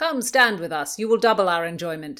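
Put-on character voice from a woman, medium-pitched with very wide pitch swings, at a fairly quick pace. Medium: read story. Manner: jovial, earthy.

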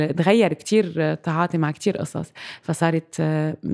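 A woman's ordinary speaking voice, fairly low-pitched, at a moderate pace. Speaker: theatre director and playwright. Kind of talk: interview conversation. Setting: at her home.

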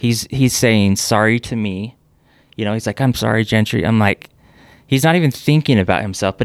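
A plain, everyday voice, this man speaks at medium pitch and a moderate pace with ordinary pitch variation, in a dry, close sound with no echo. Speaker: businessman and plane crash survivor. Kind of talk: casual interview. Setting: in-person studio.

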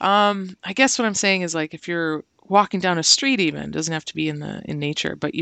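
Fairly quick speech with a Canadian accent. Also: woman. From Ontario, Canada (Brantford). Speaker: visual artist. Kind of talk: casual interview.

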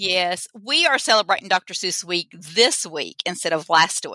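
A woman with an Arkansas accent, medium pitch and a bright, sharp tone at a fairly slow pace, in a very clean, dry, close recording with a silent background and no echo. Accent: Southern US (Arkansas). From Arkansas, US South. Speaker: teacher. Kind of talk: casual interview chat. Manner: animated, passionate.

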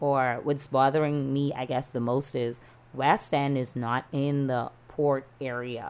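A woman's very deep, low voice with a Bahamian accent, monotone and flat in intonation, at a fairly slow pace. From Bahamas, Freeport, Grand Bahama. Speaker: freelance journalist. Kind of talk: casual chat.

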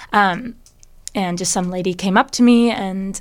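A woman with an American accent has a normal speaking voice at medium pitch. She talks at a fairly slow pace with fairly even intonation. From Washington State, Bellevue. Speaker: fashion model. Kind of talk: casual chat.

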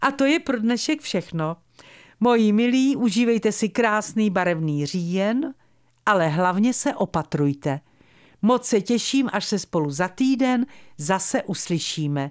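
A woman's voice swings very widely in pitch. Its loudness stays very even. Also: medium pitch for a woman, fairly slow pace, very clean recording, silent background. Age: 70s. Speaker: radio presenter and wedding officiant. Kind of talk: scripted radio monologue.

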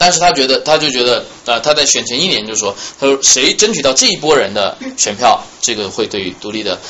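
Over noticeable background noise, a man talks at a very fast pace in a medium pitch. His tone is animated, with very wide pitch swings. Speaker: journalist and history student. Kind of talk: lecture. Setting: salon talk with small audience.

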